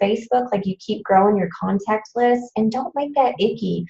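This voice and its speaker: A fairly high yet dark, mellow female voice, somewhat breathy, at a moderate pace. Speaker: fitness coach presenter. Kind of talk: training presentation. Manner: animated.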